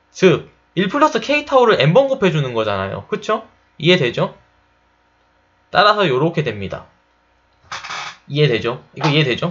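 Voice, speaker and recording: A man's high voice with very wide pitch swings and long, frequent pauses. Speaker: chemical engineering tutor. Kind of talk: lecture. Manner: fast.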